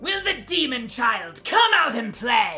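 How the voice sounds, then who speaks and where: This is a put-on character voice with a fairly high pitch. It swings very widely in pitch at a fairly slow pace. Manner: menacing, playful, taunting.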